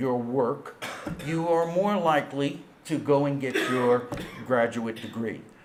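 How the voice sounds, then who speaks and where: The room echo is audible and background noise is noticeable. A man speaks at a very slow pace. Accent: New York. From New York. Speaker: intelligence studies scholar. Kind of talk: conference lecture. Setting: auditorium with audience.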